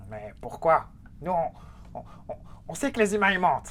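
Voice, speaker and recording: This man puts on a character voice. It sits high in pitch and moves at a moderate pace. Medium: actual play. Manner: whiny, petulant, childish.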